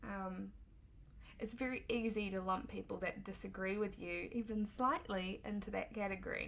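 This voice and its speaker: A woman talks at a moderate pace with a New Zealand accent. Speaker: political commentator. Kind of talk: opinion monologue. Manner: hesitant, frequent ums.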